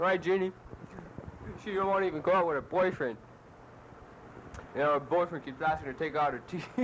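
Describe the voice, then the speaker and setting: A man at a high pitch and very fast pace, with ordinary pitch variation, long, frequent pauses and noticeable background noise. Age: young. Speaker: soldier. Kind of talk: casual chat.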